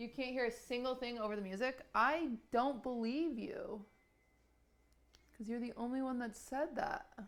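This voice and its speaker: A woman uses a put-on character voice with high pitch. She mumbles quietly at a moderate pace. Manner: mumbling, quiet.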